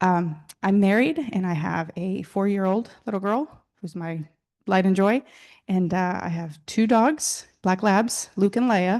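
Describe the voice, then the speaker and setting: Over a quiet background, a woman with a Spanish accent talks at a fairly slow pace. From Mexico (Mexico City), moved to Texas at 14. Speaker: state auditor, alumni panelist. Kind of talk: panel introduction.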